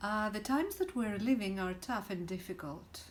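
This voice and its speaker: With audible room echo, a woman speaks at a medium pitch in a Greek accent. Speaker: spiritual teacher. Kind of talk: direct-to-camera talk. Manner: hesitant, many fillers.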